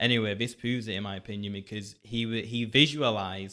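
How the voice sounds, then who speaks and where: Very fast delivery from a man, intonation fairly even. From southern England. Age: 20s. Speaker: children's book author. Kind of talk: casual chat.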